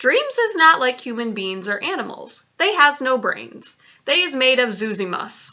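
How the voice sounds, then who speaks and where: Putting on a character voice, the woman speaks high in pitch at a moderate pace. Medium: read story. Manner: ungrammatical, quirky invented words.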